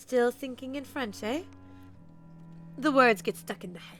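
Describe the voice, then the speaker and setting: Over faint background music, a woman uses a put-on character voice, high in pitch, at a moderate pace. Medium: game stream.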